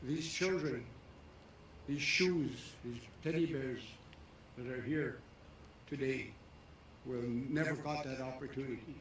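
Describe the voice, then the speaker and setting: This man talks at a fairly slow pace, leaving long, frequent pauses, with fairly even intonation. The recording carries audible room echo and noticeable background noise. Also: medium pitch for a man. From Canada, Métis. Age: 80s+. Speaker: elder and residential school survivor. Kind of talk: ceremonial speech.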